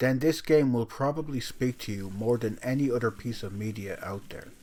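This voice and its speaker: The speaker has a strong Irish accent and ordinary pitch variation at a moderate pace. The recording is very clean with a silent background. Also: man. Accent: Irish, self-described as strong. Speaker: video game reviewer. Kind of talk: scripted review narration.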